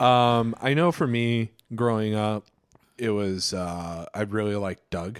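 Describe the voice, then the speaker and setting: A man talks at a fairly slow pace with a fairly low pitch and ordinary pitch variation. He has a plain, everyday voice. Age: 30s. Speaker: podcast co-host and teacher. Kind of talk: casual chat.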